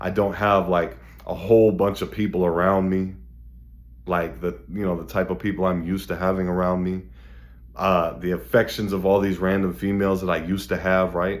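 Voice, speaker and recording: A man talks at a moderate pace in a very deep, low pitch. Audible room echo surrounds his voice. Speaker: motivational video host. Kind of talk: motivational monologue. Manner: mellow.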